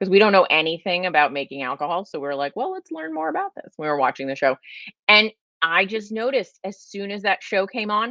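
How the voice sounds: Lively intonation and a fairly quick pace mark this voice with a Californian accent. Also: woman, medium pitch for a woman. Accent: Californian, says "like" a lot.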